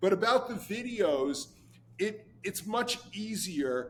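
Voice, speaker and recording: A high-pitched male voice at a very slow pace. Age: 70s. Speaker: painter. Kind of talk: interview.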